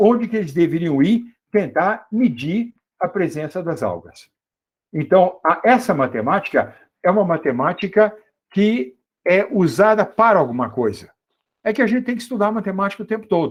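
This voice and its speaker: This man's voice sits high in pitch. His pitch swings very widely as he talks. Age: 70s. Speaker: mathematics professor. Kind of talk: lecture.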